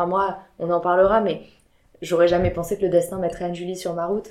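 Speaking fairly quickly, a woman keeps a medium pitch and a flat, monotone intonation. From southwest France, Biarritz. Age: 30s. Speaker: entrepreneur and mother. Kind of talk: casual interview.

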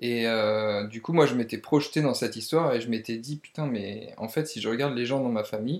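A man with an ordinary speaking voice talks at a fairly quick pace, his medium pitch showing ordinary pitch variation. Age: 30s. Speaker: entrepreneur and property investor. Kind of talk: casual interview. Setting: at the host's home.

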